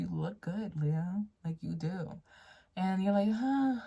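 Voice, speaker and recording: A woman's somewhat breathy, dark and mellow voice, lively in intonation, at a fairly slow pace. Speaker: tarot reader. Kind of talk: tarot reading to camera. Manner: casual, conversational.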